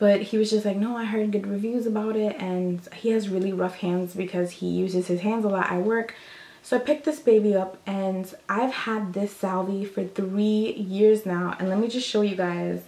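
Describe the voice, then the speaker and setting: The speaker is quiet, using fairly even intonation at a moderate pace over noticeable background noise. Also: woman, medium pitch for a woman. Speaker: beauty vlogger. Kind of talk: casual show-and-tell vlog. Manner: casual, chatty; lowered voice, quieter.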